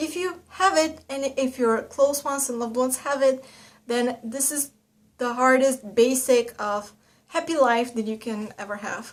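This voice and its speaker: A woman with a high pitch, ordinary pitch variation and a moderate pace. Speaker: vlogger. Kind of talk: casual vlog monologue. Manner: hesitant, many fillers.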